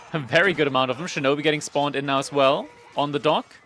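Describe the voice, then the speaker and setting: A man speaks very fast at a fairly high pitch. Noticeable background noise sits behind him. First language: not English. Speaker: esports caster. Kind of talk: live commentary. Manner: fast, play-by-play.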